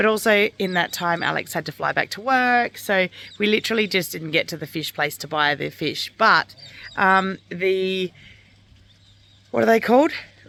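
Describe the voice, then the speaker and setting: A woman's bright, sharp, medium-pitched voice in an Australian accent, with lively intonation at a moderate pace. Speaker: homesteader vlogger. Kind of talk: casual vlog talk.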